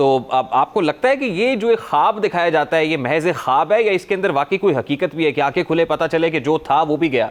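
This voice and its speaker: This man has a normal speaking voice, fairly high in pitch, with lively intonation. His loudness stays very even and he hardly pauses at all. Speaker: TV news anchor. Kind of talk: TV talk show interview.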